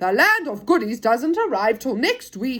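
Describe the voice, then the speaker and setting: Speaking at a moderate pace, a woman uses a put-on character voice with a high pitch. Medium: read story.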